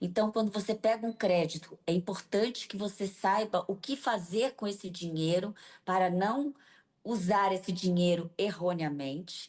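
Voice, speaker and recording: With an unremarkable speaking voice, a woman of medium pitch speaks at a fairly slow pace with ordinary pitch variation, over a quiet background. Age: 60s. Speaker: business association leader. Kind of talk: TV interview.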